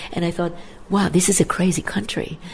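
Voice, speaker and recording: Against noticeable background noise, a woman with a fairly low pitch speaks in a flat monotone. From Israel. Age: 70s. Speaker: winery owner. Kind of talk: interview.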